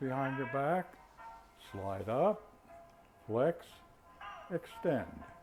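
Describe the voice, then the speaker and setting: With music in the background, a man speaks very slowly at a fairly high pitch, his intonation lively. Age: 80s+. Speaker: retired physician and qigong instructor. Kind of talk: exercise class instruction.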